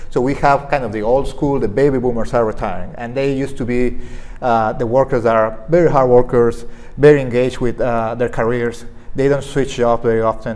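With a Spanish accent, a man talks at a fairly quick pace. His intonation stays fairly even. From Mexico. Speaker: veterinarian and staffing agency director. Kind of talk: interview. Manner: halting. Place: studio. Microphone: lapel.

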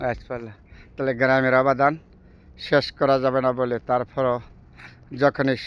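With a central Bangladeshi accent, a man talks at a medium pitch in a monotone, flat intonation. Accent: Bangladeshi Bengali with Narsingdi dialect. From Bangladesh, Narsingdi district. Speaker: vlogger. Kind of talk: casual vlog narration. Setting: outdoors, travelling through a village.

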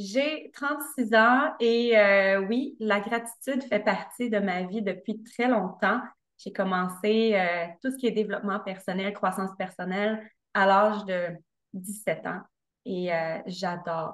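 Against a quiet background, a woman speaks very slowly with ordinary pitch variation. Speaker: podcast guest. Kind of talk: interview answer. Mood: cheerful, smiling. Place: home room. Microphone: video call.

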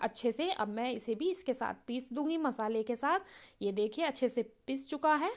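Here a woman speaks at a high pitch with ordinary variation. Her pace is fairly slow. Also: quiet background. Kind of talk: cooking tutorial. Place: kitchen.

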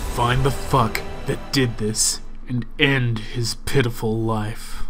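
Loud music plays behind a man who speaks at a medium pitch and a fairly slow pace. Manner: distressed, then furious.

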